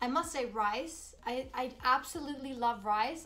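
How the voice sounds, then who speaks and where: Music plays in the background as a woman speaks at a fairly slow pace. Her voice is high in pitch with ordinary variation. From Sweden (Borås). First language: Swedish. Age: 30s. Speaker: vlogger. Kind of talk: casual Q&A vlog. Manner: upbeat, animated.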